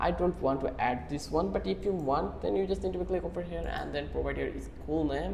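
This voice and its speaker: Someone with a Bangladeshi accent speaks at a moderate pace over noticeable background noise. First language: Bengali. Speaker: online tutorial creator. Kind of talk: tutorial.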